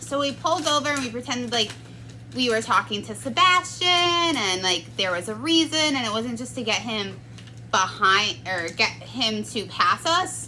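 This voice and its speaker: Noticeable background noise sits under a woman's voice. She speaks at a moderate pace. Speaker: paranormal storytelling vlogger. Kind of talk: personal story telling. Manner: soft-spoken; casual, filler-heavy.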